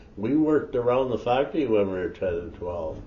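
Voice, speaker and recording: A man speaks with an Ontario accent at a moderate pace. His medium-pitched voice is somewhat breathy. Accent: rural Ontario Canadian. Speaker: elder storyteller. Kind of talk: oral history storytelling. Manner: halting, with false starts.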